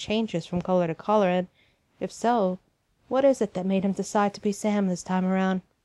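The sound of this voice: Against a quiet background, the speaker uses an unforced reading voice with fairly even intonation.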